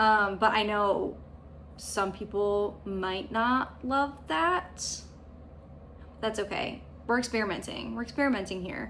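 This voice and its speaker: A woman speaks at a fairly slow pace, leaving long, frequent pauses. Audible room echo surrounds her voice. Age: 30s. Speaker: cross stitch vlogger. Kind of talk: casual vlog monologue. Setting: at home.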